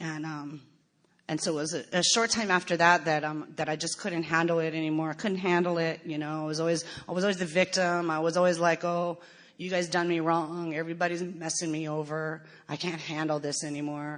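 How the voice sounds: A woman speaks with an American accent in a low voice at a fairly quick pace. Her tone is fairly bright, and her pitch barely moves.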